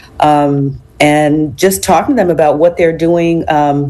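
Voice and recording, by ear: With audible room echo, a woman speaks at a low pitch in a raspy, croaky voice that has a dark, mellow tone and fairly even intonation. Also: fairly slow pace.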